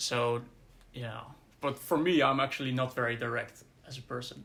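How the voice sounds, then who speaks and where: A man's bright, sharp voice with vocal fry and a monotone, flat delivery. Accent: Dutch. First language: Dutch. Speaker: podcast co-host. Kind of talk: casual discussion. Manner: halting.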